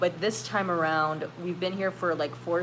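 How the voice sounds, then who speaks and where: Noticeable background noise sits behind a woman's voice. She speaks fairly low in a flat monotone. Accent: American. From California, US. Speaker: YouTuber hosting a live stream. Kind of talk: casual live stream chat, reading comments. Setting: live stream. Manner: casual, many fillers.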